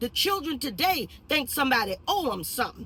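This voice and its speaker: High-pitched and animated, a woman speaks in a raised, projected voice with a bright, sharp tone and very wide pitch swings at a moderate pace. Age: 60s. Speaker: video blogger. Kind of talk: opinion monologue. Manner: halting.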